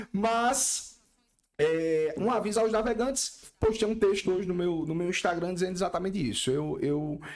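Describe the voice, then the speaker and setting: A man with a high pitch speaks at a moderate pace with ordinary pitch variation, and audible room echo surrounds him. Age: 30s. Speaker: lawyer and constitutional law professor. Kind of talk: podcast interview.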